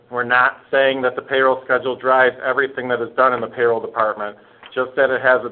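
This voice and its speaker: A man at medium pitch, talking very fast in a monotone, flat way, with noticeable background noise. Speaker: webinar presenter. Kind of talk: webinar presentation. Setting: webinar conference call.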